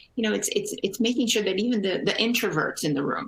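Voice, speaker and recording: A woman speaks very fast at medium pitch with lively intonation. Noticeable background noise runs underneath. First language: Portuguese. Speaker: energy company executive. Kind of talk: panel discussion.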